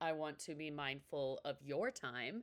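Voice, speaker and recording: Speaking at a very slow pace, a woman has a very deep, low pitch. She talks with an American accent. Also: very clean recording, silent background. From New York City. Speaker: podcast host. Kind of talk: casual interview conversation.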